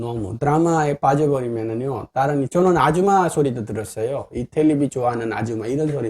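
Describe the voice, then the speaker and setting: A man with a medium-pitched voice talks at a fairly quick clip in an animated tone, using ordinary pitch variation and hardly any pauses, in a dry, close sound with no echo. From northern India. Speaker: YouTuber, businessman. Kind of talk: casual vlog monologue.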